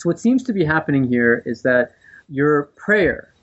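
A man with a fairly high voice speaks in a New Jersey accent. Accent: American, New Jersey. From US East Coast, New Jersey. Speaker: professor of religion, author. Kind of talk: interview about his book. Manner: hesitant, with frequent fillers.

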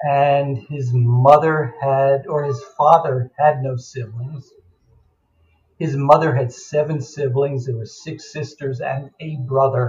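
A man with an American accent talks at a very slow pace in a fairly high, somewhat breathy voice. His intonation is monotone and flat, though his loudness swings widely. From New York suburbs, US. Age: 70s. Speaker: memoir author, adoptee. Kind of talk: interview storytelling. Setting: remote call.

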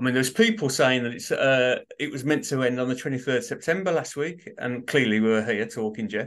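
In a Birmingham accent, a man talks at a fairly quick pace with medium pitch and ordinary pitch variation. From Birmingham, England. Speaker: author. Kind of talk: casual interview chat.

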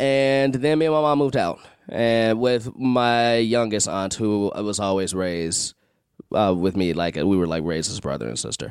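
In a very clean recording with a silent background, a man with a plain, everyday voice and an American accent speaks at a fairly low pitch and a moderate pace, with lively intonation. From Chicago. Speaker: improviser and actor. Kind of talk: casual chat.

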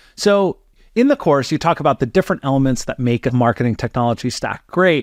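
A man with an unremarkable speaking voice, fairly high-pitched, talking at a fairly quick pace, dry and close with no echo, over a quiet background. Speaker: podcast co-host. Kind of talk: casual interview discussion.

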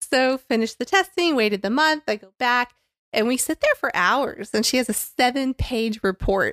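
A high-pitched woman with an American accent speaks with lively intonation at a moderate pace, the recording very clean, silent, dry and close with no echo. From Florida, Tampa. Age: 50s. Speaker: church member sharing her story. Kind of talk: testimony.

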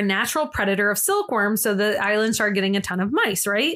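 A woman's bright, sharp, animated voice with an American accent and ordinary pitch variation. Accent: regional US accent that comes out at times. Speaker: podcast co-host. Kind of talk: casual chat.

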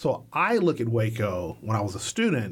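A man with a somewhat breathy voice. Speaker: filmmaker. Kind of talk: casual interview. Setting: studio.

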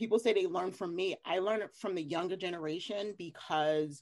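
Here a woman speaks in an ordinary speaking voice. Her pace is fairly quick, and her pitch variation is ordinary. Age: 50s. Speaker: reseller and podcaster. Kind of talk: casual chat.

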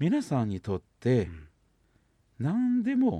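A man with a Kansai accent is heard in a dry, close recording with no echo. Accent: Kansai dialect Japanese. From China, Shanghai. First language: Chinese (speaking Japanese). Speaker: psychosomatic medicine doctor. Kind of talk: radio interview.

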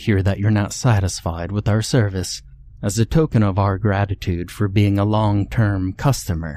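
The intonation stays fairly even while someone is reading aloud in a natural voice.

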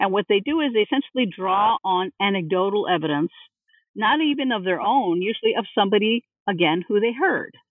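A woman talks at a fairly quick pace with lively intonation and very even loudness. Her pitch is medium. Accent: Californian. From US West Coast, East Los Angeles. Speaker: religious studies professor. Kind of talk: interview.

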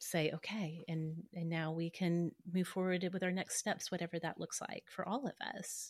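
An unremarkable speaking voice moves at a fairly slow pace, recorded very cleanly against a silent background with a dry, close sound and no echo. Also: woman. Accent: American. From Oklahoma, US. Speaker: podcaster and blogger. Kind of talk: casual chat.

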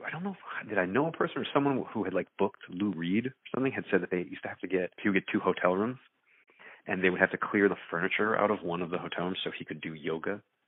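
In an American accent, a man speaks at a very fast pace with a very deep, low pitch and ordinary pitch variation. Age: 30s. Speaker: rock band vocalist. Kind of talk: casual interview conversation. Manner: halting, many fillers and repetitions.

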